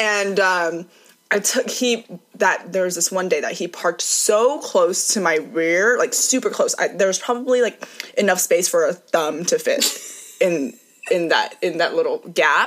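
Fairly slow speech with music in the background. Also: woman. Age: 20s. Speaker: guest. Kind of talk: casual chat.

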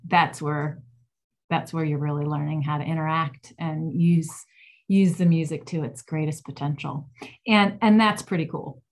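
A woman speaks at a moderate pace with an American accent, her voice somewhat breathy and very deep and low in pitch. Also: ordinary pitch variation. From Ohio, US Midwest. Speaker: music therapist and author. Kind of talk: interview.

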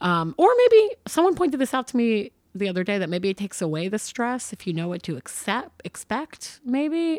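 With an American accent, a woman talks at a moderate pace and a fairly high pitch, her pitch swinging very widely. The recording is very clean with a silent background, and the sound is dry and close with no echo. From upstate New York (Hudson Valley). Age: 20s. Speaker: comedian. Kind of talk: casual chat. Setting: in person at host's place.

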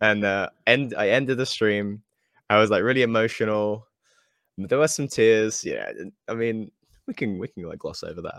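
In a very clean recording with a silent background and a dry, close sound with no echo, a man with a British accent talks at a moderate pace and medium pitch, his intonation fairly even but his loudness swinging widely. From UK. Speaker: guitar game streamer. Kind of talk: casual chat. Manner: halting, repeats words.

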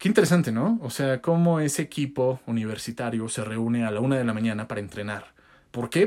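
On a very clean recording with a silent background, a man speaks with a Mexican accent. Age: 20s. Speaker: podcast host and content creator. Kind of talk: casual solo podcast monologue. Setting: pantry used as makeshift studio. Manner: occasional stutter.

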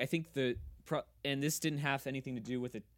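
Talking at a fairly quick pace, a man uses a normal speaking voice with an American accent, medium pitch and ordinary pitch variation. The recording is very clean, with a silent background. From Kansas. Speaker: podcast co-host. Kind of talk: casual chat.

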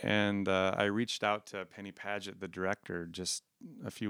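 A man with an American accent speaks at a moderate pace and a fairly low pitch. The recording is very clean with a silent background and a dry, close sound with no echo. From South Dakota, US Midwest. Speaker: chemical engineer and community theater actor. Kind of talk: interview, personal storytelling.

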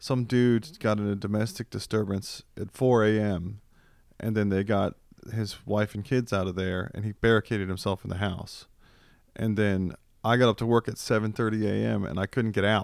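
Speaking in an ordinary speaking voice with an American accent, a man uses a fairly low pitch, fairly even intonation and a moderate pace on a very clean recording with a silent background. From US East Coast (Virginia/DC). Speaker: podcast co-host. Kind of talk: casual banter. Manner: joking, crude, banter.

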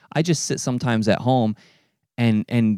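A man with a normal speaking voice at medium pitch talks at a fairly quick pace, the sound dry and close with no echo and the background silent on a very clean recording. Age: 30s. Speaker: podcast host. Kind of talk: casual chat.

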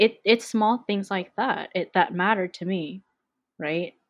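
A woman with a Canadian accent and a plain, everyday voice speaks at a fairly slow pace, with medium pitch and ordinary pitch variation. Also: quiet background. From Vancouver, Canada. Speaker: podcast guest. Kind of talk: casual chat.

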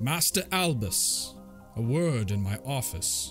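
Over clear music in the background, a man uses a put-on character voice at a medium pitch and a fairly slow pace. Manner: loud, commanding.

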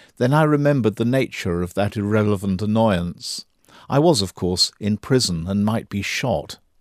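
In a very clean recording with a silent background, a man with a normal speaking voice talks at a moderate pace, his fairly low pitch carried by lively intonation. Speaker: audiobook-style reader of an essay. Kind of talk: literary memoir reading, first-person prison narrative read aloud. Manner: measured, reflective, contemplative.

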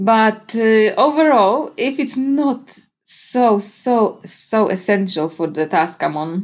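A woman's medium-pitched voice in a Polish accent, with very wide pitch swings, hardly any pauses and a quiet background. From Poland. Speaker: podcast guest, digital marketer and home cook. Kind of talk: casual interview chat. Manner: energetic, straightforward.

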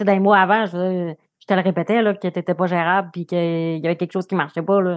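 On a very clean recording with a silent background, a woman talks at a fairly quick pace and a medium pitch. Her intonation is monotone and flat, and the sound is dry and close with no echo. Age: 30s. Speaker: social worker, partner of guest. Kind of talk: personal testimony.

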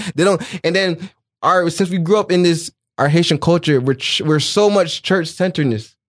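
Speaking at a moderate pace, a man with a high pitch keeps his loudness very even and his pitch variation ordinary. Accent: American. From New Jersey. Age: 20s. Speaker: fashion designer. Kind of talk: casual interview.

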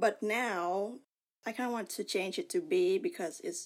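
This woman has a Vietnamese accent and a fairly high pitch. Her pitch swings very widely over a very clean recording with a silent background. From Vietnam, Ho Chi Minh City. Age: 30s. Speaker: artist. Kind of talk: casual chat.

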